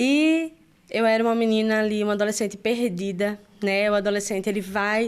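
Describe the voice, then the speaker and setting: A moderate pace with fairly even intonation in a Brazilian accent. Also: woman. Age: 30s. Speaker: church worship leader. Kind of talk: testimony. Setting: studio.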